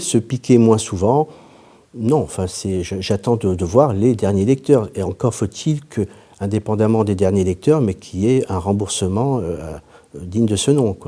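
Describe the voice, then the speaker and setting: The man's voice sits at a fairly low pitch. Its tone is dark and mellow. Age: 50s. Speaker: patient. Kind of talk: testimony. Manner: halting.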